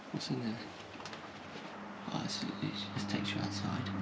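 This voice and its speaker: A man talking at a very fast pace over loud background noise. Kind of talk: casual vlog chat. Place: home room. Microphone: phone near.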